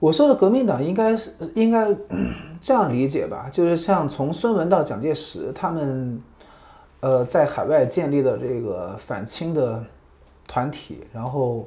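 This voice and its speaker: Over audible room echo, a man with a fairly high, somewhat breathy voice talks at a fairly slow pace with very wide pitch swings. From mainland China. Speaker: journalist and visiting researcher. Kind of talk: interview conversation. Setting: on location in Tokyo.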